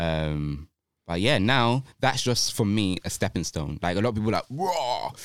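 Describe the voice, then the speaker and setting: A man talks at a moderate pace in a fairly low pitch. His pitch swings very widely. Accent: London. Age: 30s. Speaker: dancer and choreographer. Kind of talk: casual chat. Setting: studio.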